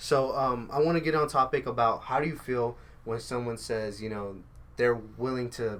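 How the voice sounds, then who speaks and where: At a fairly quick pace, a man of medium pitch speaks with ordinary pitch variation in an unremarkable speaking voice. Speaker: podcast host. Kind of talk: casual chat. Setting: studio.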